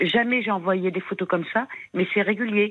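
This woman speaks at a medium pitch. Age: 60s. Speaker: caller. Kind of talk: testimony. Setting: phone call. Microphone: bad mobile connection.

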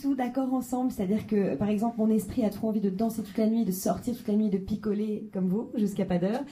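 A woman talks at a fairly quick pace with a fairly high voice and ordinary pitch variation, in a room with audible echo and noticeable background noise. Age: 30s. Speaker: stand-up comedian. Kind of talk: stand-up. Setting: stage with audience.

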